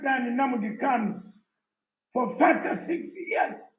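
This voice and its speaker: A man talks at a very slow pace with ordinary pitch variation, and audible room echo surrounds his voice. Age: 60s. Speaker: exiled opposition activist. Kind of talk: conference speech. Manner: emphatic.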